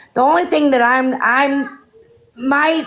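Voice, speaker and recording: With a New York accent, a woman speaks at a fairly slow pace and a high pitch. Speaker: viewer calling in. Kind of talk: heated debate. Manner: loud.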